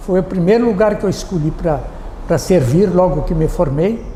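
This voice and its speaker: Speech at a moderate speed amid noticeable background noise and audible room echo. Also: man. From southern Brazil, Rio Grande do Sul (Alegrete). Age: 80s+. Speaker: retired army colonel and former mayor. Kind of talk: interview, personal recollections. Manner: halting, with repetitions.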